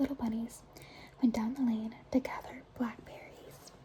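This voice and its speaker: Noticeable background noise sits under a soft-spoken voice. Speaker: ASMR creator. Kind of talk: bedtime story reading.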